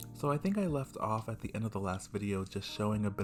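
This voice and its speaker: A soft-spoken voice at a moderate pace. Music plays in the background. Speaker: weaver. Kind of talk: casual craft tutorial narration. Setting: home recording with a basic microphone. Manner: soft-spoken, quiet.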